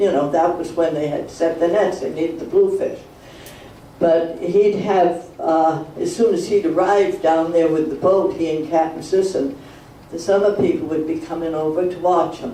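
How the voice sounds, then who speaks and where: A man speaks at a moderate pace with a high pitch and fairly even intonation. Noticeable background noise and audible room echo are present. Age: 80s+. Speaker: elderly local resident sharing memories. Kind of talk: reminiscence talk to a community meeting. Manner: halting, rambling.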